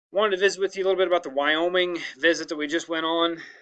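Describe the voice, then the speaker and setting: A man's bright, sharp tone at a fairly high pitch. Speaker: school principal. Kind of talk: narrated slideshow presentation to staff. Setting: screen recording. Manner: casual, hesitant with fillers.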